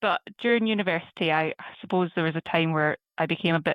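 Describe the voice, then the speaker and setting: In a Scottish accent, a woman talks at a fairly quick pace with a very deep, low pitch. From Scotland, Prestwick (Ayrshire). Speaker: systems engineer. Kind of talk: podcast interview.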